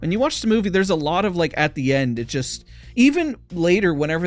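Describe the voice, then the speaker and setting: Over music in the background, a man with a high pitch speaks at a fairly quick pace with lively intonation. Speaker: movie reviewer. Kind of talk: film review monologue. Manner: stammering; passionate.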